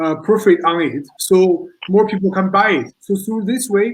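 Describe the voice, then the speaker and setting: High-pitched male speech with a non-native accent and ordinary pitch variation. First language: not English. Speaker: social entrepreneur. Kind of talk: panel discussion. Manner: halting.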